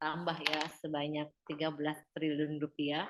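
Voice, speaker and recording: Fairly quick speech comes from a woman whose pitch is very deep and low. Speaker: webinar speaker on food policy. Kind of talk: webinar presentation. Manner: many filler hesitations. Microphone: headset, voice too quiet at first.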